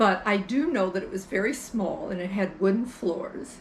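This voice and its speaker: Amid noticeable background noise, a woman with an American accent talks at a moderate pace and a medium pitch. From US Midwest, Brighton, Illinois. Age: 80s+. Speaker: storyteller. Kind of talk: casual chat.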